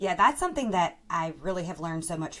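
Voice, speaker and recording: In an Alabama accent, a woman talks at a fairly low pitch with ordinary pitch variation, on a very clean recording with a silent background. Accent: Southern US (Alabama) accent, noticeable. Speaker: speech-language pathologist and podcast co-host. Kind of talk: casual podcast chat.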